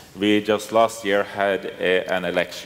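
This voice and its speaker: With a Norwegian accent, a man talks at a moderate pace in a fairly low pitch over light background noise. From Norway. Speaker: politician; panelist. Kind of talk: panel discussion. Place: hall. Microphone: headset.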